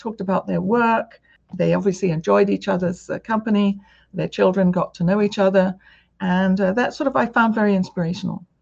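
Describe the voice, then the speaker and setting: Somewhat breathy, a woman speaks at a fairly quick pace with a medium pitch and fairly even intonation. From UK. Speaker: university president. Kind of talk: interview conversation. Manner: hesitant, thoughtful.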